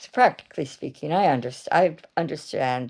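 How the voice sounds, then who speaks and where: A woman speaks at a moderate pace with lively intonation and a dark, mellow tone. The recording is very clean, with a silent background. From Canada. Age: 60s. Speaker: vlogger. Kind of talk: personal vlog monologue. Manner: halting, with false starts.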